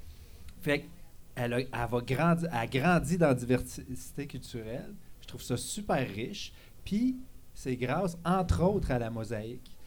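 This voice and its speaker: At a fairly slow pace, a man with a medium pitch and vocal fry speaks with lively intonation. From Quebec, Abitibi-Témiscamingue. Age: 40s. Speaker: cegep teacher, columnist. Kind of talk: live column reading. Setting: bar with live audience.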